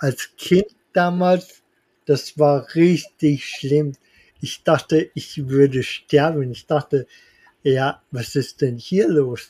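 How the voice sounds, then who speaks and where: A man's fairly high voice with a dark, mellow tone, ordinary pitch variation, a very slow pace, and dry, close sound with no echo. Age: 30s. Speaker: tutor. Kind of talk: interview. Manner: halting.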